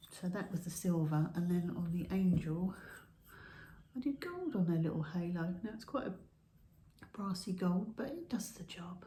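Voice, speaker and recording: Soft-spoken and somewhat breathy, a woman with a British accent and a dark, mellow tone speaks at a medium pitch and a moderate pace, with ordinary pitch variation and long, frequent pauses. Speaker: pottery YouTuber. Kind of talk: casual show-and-tell video. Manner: halting. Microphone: no microphone, camera audio.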